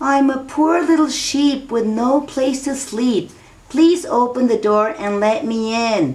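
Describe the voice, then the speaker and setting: Here a woman uses a put-on character voice with a high pitch. She keeps a moderate pace. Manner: coaxing, feigning innocence.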